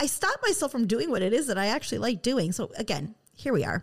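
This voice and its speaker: With a Midwestern American accent, a woman speaks in very wide pitch swings. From West Michigan. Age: 30s. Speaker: podcast host. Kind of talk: personal monologue. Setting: studio.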